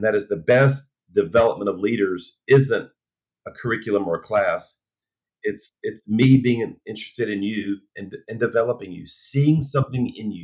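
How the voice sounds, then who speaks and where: With an ordinary speaking voice at a medium pitch, a man talks at a moderate pace, showing ordinary pitch variation and big swings in loudness. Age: 60s. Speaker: pastor. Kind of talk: interview.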